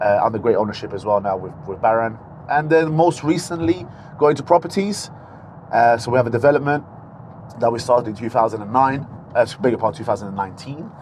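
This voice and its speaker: Over noticeable background noise, the speech races at a very fast pace with lively intonation and big swings in loudness. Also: man, medium pitch for a man. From Portugal. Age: 30s. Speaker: restaurant owner and entrepreneur. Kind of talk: podcast interview. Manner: hesitant, with fillers and repetitions.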